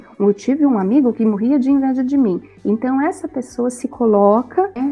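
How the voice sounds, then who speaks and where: A woman speaks at a high pitch with ordinary pitch variation against noticeable background noise. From southern Brazil, Itajaí, Santa Catarina. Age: 40s. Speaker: psychologist. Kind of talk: casual chat.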